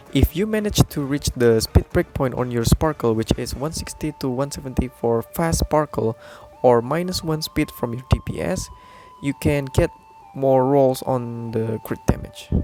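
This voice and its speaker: A man with a non-native accent at a moderate pace, ordinary pitch variation, a dry, close sound with no echo and music in the background. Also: medium pitch for a man. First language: not English. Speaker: gaming YouTuber. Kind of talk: game guide tutorial.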